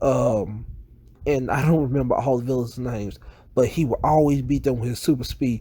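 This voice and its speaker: A man with a dark, mellow tone speaks at a moderate pace. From US South. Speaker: YouTuber. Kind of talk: casual vlog monologue.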